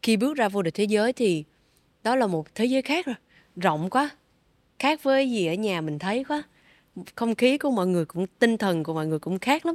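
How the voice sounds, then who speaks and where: The speech moves at a fairly quick pace with very wide pitch swings and long, frequent pauses. The recording is very clean, with a silent background and a dry, close sound with no echo. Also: woman, fairly high pitch for a woman. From Vietnam. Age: 20s. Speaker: triathlete and sports company community manager. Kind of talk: interview.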